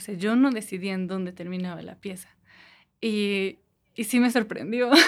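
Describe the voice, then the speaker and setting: Recorded very cleanly against a silent background, a woman talks at a medium pitch with fairly even intonation. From Mexico, Toluca. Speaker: visual artist. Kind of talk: interview.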